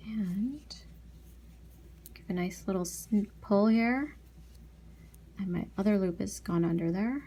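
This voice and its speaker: Soft-spoken, a woman talks at a fairly slow pace, leaving long, frequent pauses. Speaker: beading tutorial youtuber. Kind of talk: tutorial. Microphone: quiet recording volume despite maxed mic.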